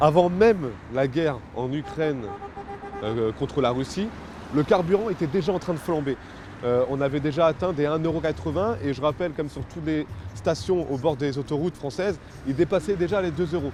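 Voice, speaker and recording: Amid noticeable background noise, a man with a fairly high pitch and lively intonation speaks at a moderate pace, leaving long, frequent pauses. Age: 20s. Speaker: production worker and protest activist. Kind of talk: interview. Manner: hesitant, many fillers.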